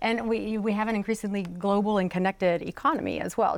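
Delivered at a fairly quick pace with fairly even intonation, the speech carries a Southern US accent in a very clean recording with a silent background. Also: woman. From South Carolina (Florence). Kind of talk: panel discussion.

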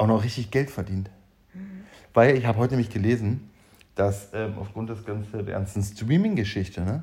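In a very clean recording with a silent background, a man with a fairly low pitch and a dark, mellow, somewhat breathy tone speaks with big swings in loudness and long, frequent pauses. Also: ordinary pitch variation, moderate pace. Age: 30s. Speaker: podcast co-host. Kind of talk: casual chat.

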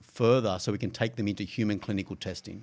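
With an Australian accent, a man talks in a fairly even intonation. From Australia, Gold Coast. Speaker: biotech institute general manager. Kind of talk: interview. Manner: hesitant, with fillers.

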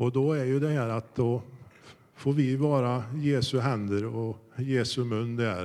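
Speaking at a fairly slow pace, a man with a medium pitch and a dark, mellow tone keeps his intonation fairly even. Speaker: church member. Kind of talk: testimony. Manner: fluent.

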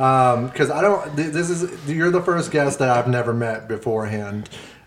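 A man's voice comes with audible room echo, set against noticeable background noise. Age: 30s. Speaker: podcast co-host. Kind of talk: casual chat.

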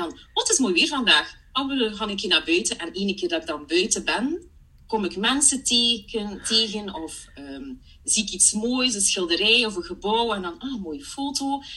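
Her pitch fairly high, a woman speaks at a moderate pace with very wide pitch swings. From Belgium (Flanders), partly Germany. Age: 30s. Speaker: part-time coach. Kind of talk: casual interview chat. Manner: animated, laughs often.

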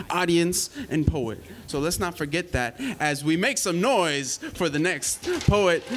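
A man with a high-pitched voice speaks at a fairly slow pace in an energetic tone, with noticeable background noise. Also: ordinary pitch variation. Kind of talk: live slam emcee patter. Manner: hype, loud, energetic.

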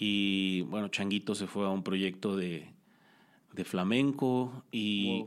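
Very slowly, a man delivers his words at a fairly low pitch. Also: fairly even intonation. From Mexico, Culiacán, Sinaloa. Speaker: musician. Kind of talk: casual chat.

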